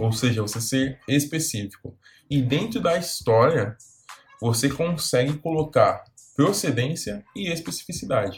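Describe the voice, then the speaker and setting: An ordinary speaking voice at a fairly slow pace, with lively intonation. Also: man, fairly high pitch for a man. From Brazil, São Paulo. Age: 20s. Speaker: career coach youtuber. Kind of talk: video tutorial.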